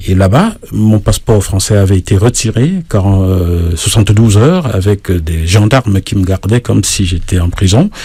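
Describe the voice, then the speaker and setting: This man talks at a moderate pace with a fairly low pitch and ordinary pitch variation. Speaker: singer-songwriter and journalist. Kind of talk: radio interview. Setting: radio studio. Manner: hesitant fillers.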